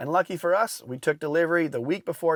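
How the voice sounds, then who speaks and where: Recorded dry and close with no echo, a man speaks at a fairly quick pace with ordinary pitch variation. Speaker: consumer product reviewer. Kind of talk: scripted narration. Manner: fast.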